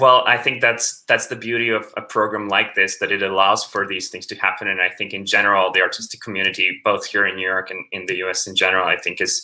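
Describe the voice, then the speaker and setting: A man talks at a very fast pace in a Latvian accent. He leaves hardly any pauses. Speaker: composer. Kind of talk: interview. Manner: halting.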